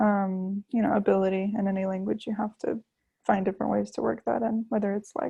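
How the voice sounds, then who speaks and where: Somewhat breathy female speech with an American accent and fairly even intonation. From US South, Florida. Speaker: language learner, YouTuber and student. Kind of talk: casual interview. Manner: fast.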